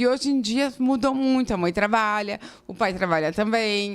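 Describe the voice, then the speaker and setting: Female speech at a moderate pace, medium in pitch, with lively intonation. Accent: southern Brazilian. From southern Brazil, Rio Grande do Sul highlands. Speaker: architect. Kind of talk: interview. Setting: studio.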